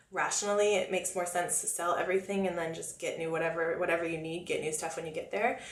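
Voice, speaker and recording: Talking at a very fast pace with hardly any pauses, a woman with a Californian accent and fairly low pitch keeps her intonation fairly even, amid noticeable background noise and audible room echo. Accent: American, with Californian vernacular. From US, Florida (Oviedo, near Orlando). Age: 20s. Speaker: makeup artist and beauty vlogger. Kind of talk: casual Q&A vlog. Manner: chatty, talkative.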